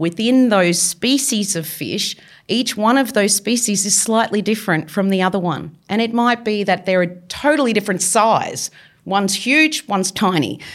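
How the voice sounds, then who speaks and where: Heard in a very clean recording with a silent background, the speaker has an Australian accent, a moderate pace and ordinary pitch variation. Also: woman, medium pitch for a woman. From Victoria, Australia. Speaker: marine biologist. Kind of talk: interview. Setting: studio.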